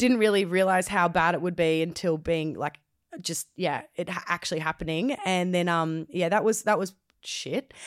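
With an Australian accent, a woman speaks at a moderate pace in a fairly low pitch with ordinary pitch variation. The recording is very clean, with a silent background. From Australia, Gold Coast. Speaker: DJ. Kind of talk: casual chat. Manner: loud.

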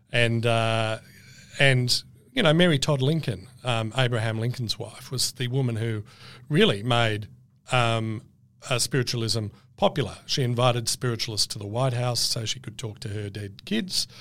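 A man with an Australian accent at a medium pitch, ordinary pitch variation and a moderate pace, in a very clean recording with a silent background. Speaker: author, historian. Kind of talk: casual interview chat.

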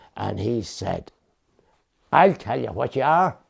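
Heard in a very clean recording with a silent background, a man with an Irish accent speaks with vocal fry. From Ireland, Dundalk, County Louth. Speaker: retired man, brother of the poet. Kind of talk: documentary interview.

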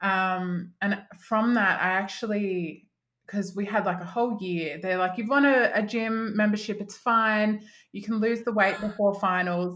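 Over a very clean recording with a silent background, a woman with an Australian accent speaks at medium pitch with fairly even intonation. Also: fairly slow pace. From Australia, country Victoria (Mildura). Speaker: confidence coach. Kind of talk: podcast interview.

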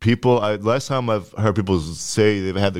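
An ordinary speaking voice, its intonation fairly even. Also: man. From Ottawa, Ontario (Orleans). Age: 20s. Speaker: comedian. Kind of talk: casual chat.

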